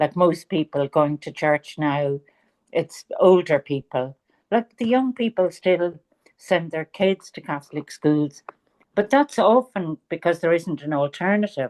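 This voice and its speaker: With a Dublin accent, a woman with a fairly low pitch speaks at a fairly slow pace in a dry, close sound with no echo. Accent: Irish (Dublin). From Ireland, Dublin. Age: 70s. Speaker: author. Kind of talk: interview.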